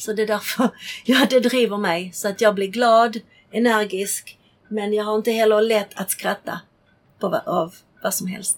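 Speaking slowly-ish with fairly even intonation, a woman talks in a Czech accent. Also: fairly high pitch for a woman. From Czechoslovakia, then Sweden from age ten. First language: Czech (speaking Swedish). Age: 50s. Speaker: interviewee sharing life story. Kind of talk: casual interview, life story. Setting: on a boat in a marina.

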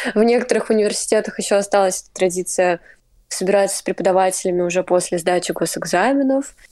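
A woman of medium pitch speaks at a fairly quick pace with a dark, mellow tone. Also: big swings in loudness. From Russia. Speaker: student. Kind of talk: casual chat.

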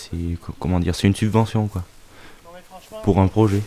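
A man at a very slow pace, ordinary pitch variation, over noticeable background noise. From France, Auvergne. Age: young. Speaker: farming apprentice. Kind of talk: interview. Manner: halting.

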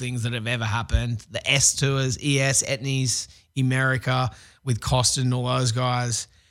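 In a very clean recording with a silent background, a man with an Australian accent speaks at a moderate pace, his medium pitch held in fairly even intonation. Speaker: pro skateboarder and TV host. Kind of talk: casual interview. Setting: radio studio.

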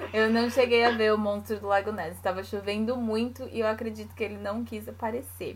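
Speaking at a fairly quick pace with hardly any pauses, a woman with a São Paulo accent is heard over noticeable background noise. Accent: São Paulo (paulista). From Brazil, São Paulo city. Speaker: podcast co-host, Brazilian expat. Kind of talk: casual chat.

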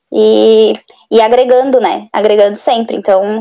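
At a fairly slow pace, a woman speaks in a plain, everyday voice with ordinary pitch variation. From Florianópolis, southern Brazil. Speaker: speech therapist. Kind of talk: casual chat.

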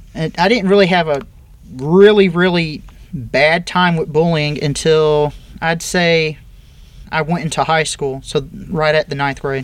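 A man with a plain, everyday voice speaks fairly slowly at a fairly high pitch, his intonation fairly even. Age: 30s. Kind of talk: interview.

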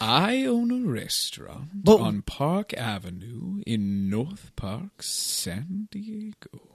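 A man speaks at a very slow pace with hardly any pauses. His fairly high pitch swings very widely. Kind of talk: comic overacting. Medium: comedy sketch. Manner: grandiose, theatrical, teasing.

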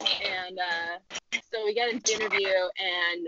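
A woman's unremarkable speaking voice at a medium pitch, with ordinary pitch variation. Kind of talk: casual chat. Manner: wry, chatty.

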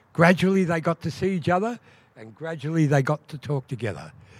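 Recorded very cleanly against a silent background with a dry, close sound and no echo, a man in an Australian accent speaks at a fairly high pitch. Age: 60s. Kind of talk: storytelling performance. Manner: animated.

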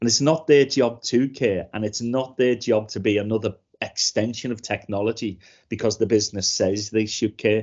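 With a Liverpool accent, a man talks at a moderate pace and medium pitch with fairly even intonation. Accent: Scouse. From Liverpool, England. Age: 50s. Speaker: cybersecurity trainer and comedian. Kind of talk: casual interview chat.

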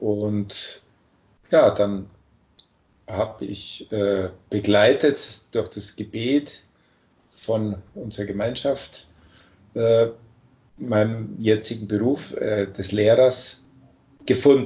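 Somewhat breathy, a man talks at a very slow pace with fairly even intonation. He leaves long, frequent pauses. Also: medium pitch for a man. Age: 50s. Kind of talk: interview.

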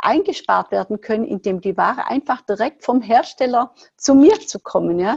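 A woman's voice carries vocal fry. Her pitch swings very widely. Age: 60s. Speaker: entrepreneur, former fitness studio owner. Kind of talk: podcast interview.

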